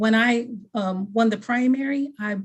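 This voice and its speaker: Somewhat breathy, a woman speaks at a fairly high pitch with an American accent. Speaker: political candidate. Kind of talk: candidate forum speech.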